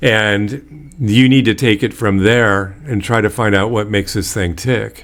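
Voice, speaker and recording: With an ordinary speaking voice, a man talks at a fairly slow pace with hardly any pauses, his fairly low pitch showing ordinary variation. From Bay Area, California. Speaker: podcast host. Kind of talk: casual interview.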